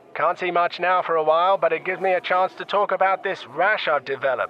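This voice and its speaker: A man at a high pitch and fairly quick pace, with noticeable background noise. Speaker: comedic horse racing commentator. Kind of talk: breathless escalating race call, spoof live horse racing commentary. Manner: rapid-fire, rising excitement as the field tussles for position; frantic repetition of horse names in the tight finish.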